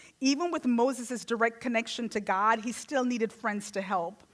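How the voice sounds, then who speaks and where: A woman's fairly high voice with ordinary pitch variation, in a Jamaican accent. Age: 40s. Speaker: guest speaker. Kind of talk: sermon.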